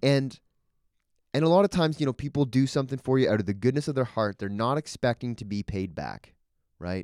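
A man speaks at a fairly quick pace with a Canadian accent, in an unremarkable speaking voice. The recording is very clean, with a silent background. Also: medium pitch for a man. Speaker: podcast co-host, new father. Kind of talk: casual conversation, Bible discussion.

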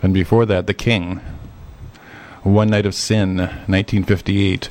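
A man speaks at a fairly low pitch in a flat, monotone delivery. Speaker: radio host. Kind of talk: radio DJ patter introducing vintage rock and roll records with trivia. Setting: radio studio broadcast.

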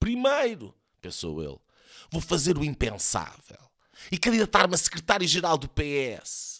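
The voice is bright and sharp, with vocal fry and very wide pitch swings. It moves at a moderate pace on a very clean recording with a silent background. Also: man. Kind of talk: mock-epic satirical audio-drama narration, read aloud as a storyteller. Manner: animated when voicing the character, shouting and laughing in quoted lines.

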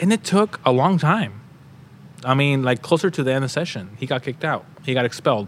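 A man with an American accent speaks at a fairly quick pace in a normal speaking voice, his medium pitch carried by lively intonation. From Oregon, Gresham. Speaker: state legislator. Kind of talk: interview.

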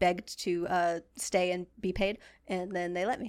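In a very clean recording with a silent background, a woman speaks at a moderate pace and a medium pitch. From central Massachusetts, near Worcester. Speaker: artist and podcast producer. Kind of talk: casual chat. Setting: podcast studio.

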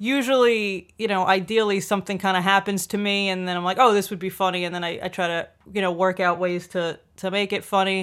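A woman at a medium pitch with a New York accent, talking at a fairly quick pace. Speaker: comedian. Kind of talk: casual chat.

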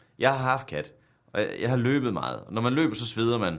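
A man talks at a fairly quick pace with a central Jutland accent. His voice carries vocal fry. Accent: central Jutland Danish. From Denmark, central Jutland. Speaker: comedian. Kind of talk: casual chat. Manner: dry, sarcastic-sounding.

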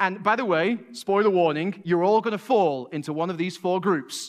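The speaker uses lively intonation with a Mancunian accent. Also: man. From Manchester, England. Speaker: college professor and lay preacher. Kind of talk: sermon. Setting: church stage with congregation.

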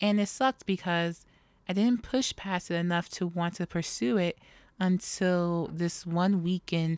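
A woman with an American accent uses an ordinary speaking voice with ordinary pitch variation, on a very clean recording with a silent background and a dry, close sound with no echo. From New York City. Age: 30s. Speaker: podcast host. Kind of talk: casual solo monologue. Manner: laughs often.

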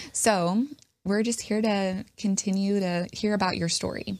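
A woman, in an unremarkable speaking voice at medium pitch, talks with fairly even intonation at a moderate speed in a very clean recording with a silent background. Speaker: podcast host. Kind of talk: casual interview chat. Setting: studio.

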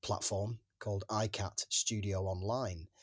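In a very clean recording with a silent background, a man with an English accent speaks fairly slowly in a fairly low, somewhat breathy voice, the sound dry and close with no echo. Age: 40s. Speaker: actor. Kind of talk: interview. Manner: halting.

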